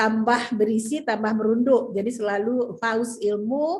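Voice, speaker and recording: A woman's fairly high, somewhat breathy voice moves with ordinary pitch variation. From West Sumatra, Padang Panjang. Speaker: business leader giving a talk. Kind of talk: presentation with slides.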